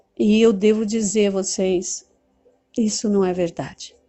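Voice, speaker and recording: Music plays behind a woman speaking at a medium pitch. She talks at a very slow pace. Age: 60s. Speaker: teacher and movement leader. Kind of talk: talk to camera on study method.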